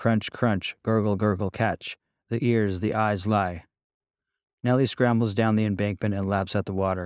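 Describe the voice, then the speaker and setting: A man's normal speaking voice, fairly low in pitch, at a moderate pace with fairly even intonation, dry and close with no echo, on a very clean recording with a silent background. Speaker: author. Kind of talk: audiobook reading.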